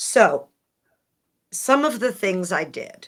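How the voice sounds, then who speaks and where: A woman speaks with an American accent and a bright, sharp tone. Her pitch swings very widely, and vocal fry creeps in. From United States. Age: 60s. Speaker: author and speaker. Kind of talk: podcast interview.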